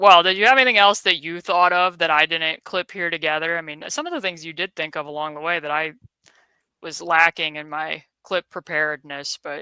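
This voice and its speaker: A woman speaks fairly quickly at a fairly low pitch, with ordinary pitch variation, big swings in loudness and a bright, sharp tone. The sound is dry and close with no echo, on a very clean recording with a silent background. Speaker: basketball analyst, podcast host. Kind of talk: casual chat.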